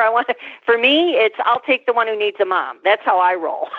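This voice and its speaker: Lively intonation and a fairly quick pace mark this plain, everyday voice. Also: woman. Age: 50s. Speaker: psychotherapist and podcast host. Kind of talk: interview.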